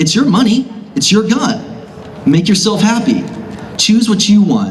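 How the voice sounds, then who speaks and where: Over noticeable background noise and audible room echo, a man with an American accent speaks with ordinary pitch variation. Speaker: gun shop owner. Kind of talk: rally speech. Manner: fast.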